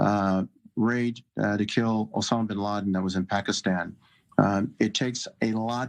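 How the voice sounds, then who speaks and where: A man with an ordinary speaking voice talks at a moderate pace with fairly even intonation. The sound is dry and close with no echo, over a quiet background. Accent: American. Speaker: retired army general, military analyst. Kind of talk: TV news interview. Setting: remote TV link.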